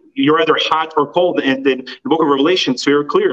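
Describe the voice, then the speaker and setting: A man speaks at a fairly quick pace with a fairly high pitch and fairly even intonation over noticeable background noise. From former Soviet Union. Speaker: author and life coach. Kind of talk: interview.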